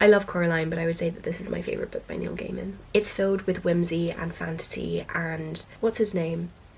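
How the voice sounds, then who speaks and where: A woman's fairly low voice at a fairly quick pace, fairly even in intonation, over noticeable background noise. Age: 20s. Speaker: book vlogger. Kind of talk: book recommendations vlog.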